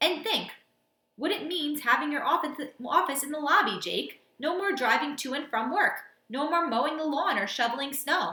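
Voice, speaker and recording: In a put-on character voice, a woman whines at a high pitch and moderate pace, with a slight echo. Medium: read story. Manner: whining, cooing.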